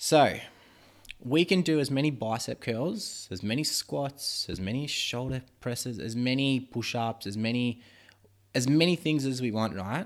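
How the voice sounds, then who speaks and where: A man talks fairly slowly in an ordinary speaking voice, his pitch medium and its variation ordinary. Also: very clean recording, silent background. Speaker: podcast host teaching about muscle growth. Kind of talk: casual educational chat. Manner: rambling, informal, joking.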